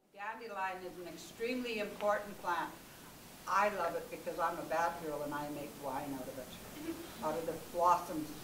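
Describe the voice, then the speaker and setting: A woman speaks at a moderate pace in a fairly low pitch with ordinary pitch variation. Long, frequent pauses break her speech over noticeable background noise. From Manitoba, Canada. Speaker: Metis elder and herbal workshop leader. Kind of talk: outdoor workshop talk. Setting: outdoors. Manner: enthusiastic.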